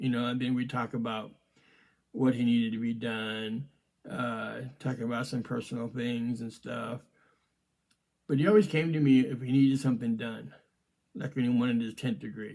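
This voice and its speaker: With long, frequent pauses, a man speaks at medium pitch using fairly even intonation. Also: moderate pace. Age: 60s. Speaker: martial arts grandmaster and podcast host. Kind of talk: casual reminiscing monologue. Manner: hesitant, many fillers.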